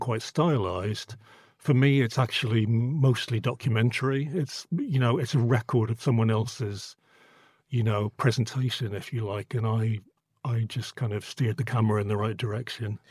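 A man's somewhat breathy voice at medium pitch, fairly quick, with ordinary pitch variation and a dry, close sound with no echo, on a very clean recording against a silent background. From Northern Ireland. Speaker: photographer. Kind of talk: interview. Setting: studio.

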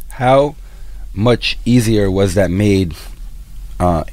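The man's pitch is fairly low, his tone dark and mellow. His intonation stays fairly even. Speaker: radio interviewer. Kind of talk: interview.

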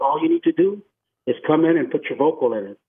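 The speaker has an American accent and uses ordinary pitch variation. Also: man. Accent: Tejano Texan English. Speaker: singer. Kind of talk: casual interview. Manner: halting.

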